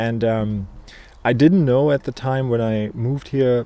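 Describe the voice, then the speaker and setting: A man with a German accent speaks at a moderate pace in a dark, mellow tone and a medium pitch. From Germany. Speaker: beekeeper. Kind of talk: casual video monologue. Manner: hesitant, many fillers.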